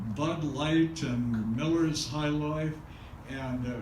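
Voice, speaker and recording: A man with an American accent speaks in a fairly high voice. Noticeable background noise and audible room echo come through. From Los Angeles, California. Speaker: son of a famous silent film star. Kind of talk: talk to an audience. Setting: museum screening with audience. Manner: halting.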